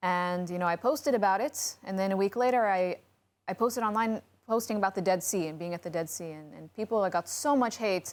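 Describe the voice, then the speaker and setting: At a fairly quick pace, a woman with an American accent speaks at a medium pitch in a plain, everyday voice, using ordinary pitch variation and big swings in loudness. The recording is very clean, with a silent background. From United States. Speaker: podcast co-host. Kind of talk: casual panel chat.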